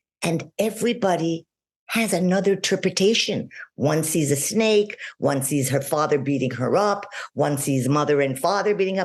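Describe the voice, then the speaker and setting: A woman with an ordinary speaking voice talks at a moderate pace and a fairly low pitch. Her intonation is lively, and her loudness stays very even. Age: 60s. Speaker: parenting and life coach. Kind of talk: podcast interview.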